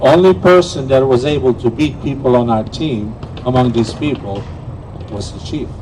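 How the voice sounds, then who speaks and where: A man talks at a medium pitch. Noticeable noise sits in the background. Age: 70s. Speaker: table tennis player and memorial speaker. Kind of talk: memorial tribute speech. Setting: outdoor memorial event, live streamed.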